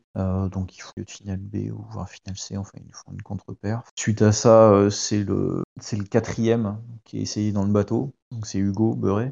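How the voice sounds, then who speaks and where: Fairly even intonation at a moderate pace, with big swings in loudness. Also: man, fairly low pitch for a man. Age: 30s. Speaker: Olympic rower. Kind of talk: interview. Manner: hesitant, many fillers.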